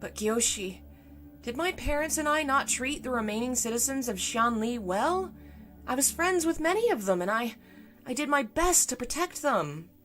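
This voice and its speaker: A female-sounding, put-on character voice, high-pitched, strained and shaky, at a moderate pace over music in the background. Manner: strained, quivering, choked up.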